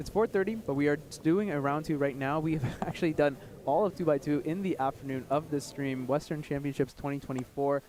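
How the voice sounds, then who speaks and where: The talking rushes along very fast. Its pitch varies in an ordinary way. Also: man, fairly high pitch for a man. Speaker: live stream commentator. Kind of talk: live commentary. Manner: animated.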